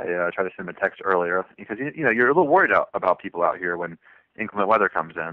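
A man's fairly low voice with an American accent, at a very fast pace. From US South, southwestern Virginia. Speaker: thru-hiker. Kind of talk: interview.

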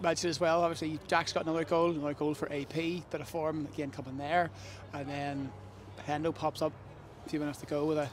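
A man talks at a fairly quick pace with a fairly high pitch. His pitch moves very little.

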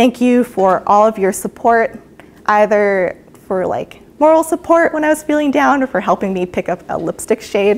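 A woman's fairly high voice with very wide pitch swings at a moderate pace. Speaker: PhD candidate; candidate. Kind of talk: PhD defense talk. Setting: university presentation with audience and online. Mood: warm, grateful. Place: hall.

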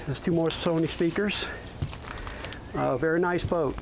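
Moderate pace over noticeable background noise. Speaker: boat seller. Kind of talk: walkaround sales tour narration. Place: boat. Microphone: phone near.

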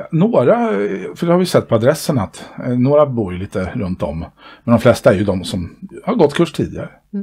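Against a quiet background, a somewhat breathy voice with a dark, mellow tone moves through very wide pitch swings, broken by long, frequent pauses. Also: man, medium pitch for a man, fairly quick pace. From Sweden. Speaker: dance club board member and dance instructor. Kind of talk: casual interview chat. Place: home room. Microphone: headset.

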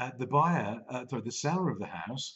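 A man talking at a very fast pace, with ordinary pitch variation, over a quiet background. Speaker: business coach vlogger. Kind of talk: casual vlog chat. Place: home room. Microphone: webcam.

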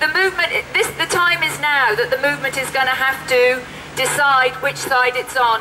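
Her voice is raised and projected, high in pitch, at a moderate pace. A woman speaks over light background noise. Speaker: activist. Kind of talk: rally speech. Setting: outdoor protest. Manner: impassioned, urgent, emphatic. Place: street. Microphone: handheld.

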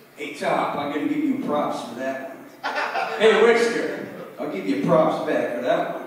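Strong room echo around a man's fairly high-pitched voice, with lively intonation and a fairly slow pace

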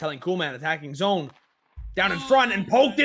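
A man speaks in a raised, projected voice at a high pitch. His pitch swings very widely. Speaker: sports commentator. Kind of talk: live play-by-play esports hockey commentary over a goal compilation.

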